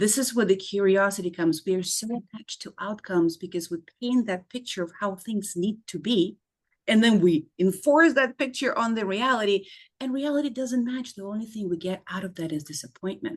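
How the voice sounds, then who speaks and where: A woman with a non-native accent speaks at a fairly quick pace and medium pitch, with lively intonation. Her loudness swings widely, and the background is quiet. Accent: foreign accent, still noticeable. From former Soviet Union. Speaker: clinical psychologist. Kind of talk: interview.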